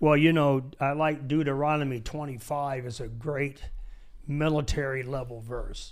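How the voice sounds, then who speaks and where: Speaking at a moderate pace with an American accent, the voice stays monotone and flat, with audible room echo around it. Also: man, fairly high pitch for a man. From Michigan, US. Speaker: pastor and military veteran. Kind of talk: casual chat. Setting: studio.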